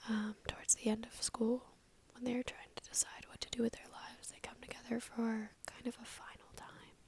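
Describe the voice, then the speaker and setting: A woman whispering. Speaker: book reviewer. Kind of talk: ASMR book review. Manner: whispered, soft-spoken.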